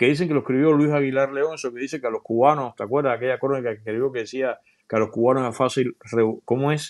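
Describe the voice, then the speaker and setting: The speaker is a man. The background is quiet. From Cuba, Matanzas; Cuba. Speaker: journalist and video creator; interview guest. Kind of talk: interview. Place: home room. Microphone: earbuds.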